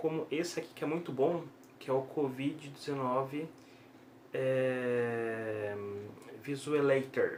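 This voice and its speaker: With a Brazilian accent and a fairly high voice, a man speaks at a very slow pace with long, frequent pauses and ordinary pitch variation, amid noticeable background noise and audible room echo. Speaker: YouTuber giving daily news updates. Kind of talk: informal video bulletin. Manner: slow, deliberate; hesitant with fillers.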